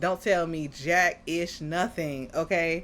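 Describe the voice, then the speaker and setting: A loud woman's voice. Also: very clean recording, silent background. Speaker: anime reaction youtuber. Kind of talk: reaction commentary. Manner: animated.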